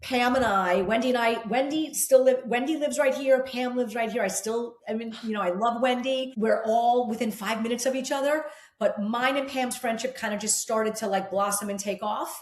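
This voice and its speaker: Speaking at a fairly quick pace with hardly any pauses, a woman with an American accent and a high pitch is heard amid audible room echo. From New Jersey. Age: 50s. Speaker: fitness instructor. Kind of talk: casual chat. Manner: animated.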